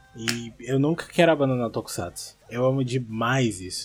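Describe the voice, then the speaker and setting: A man with an unremarkable speaking voice, fairly high in pitch, at a fairly slow pace. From Recife, Pernambuco, Brazil. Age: 20s. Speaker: listener sending voice message. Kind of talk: recorded voice message.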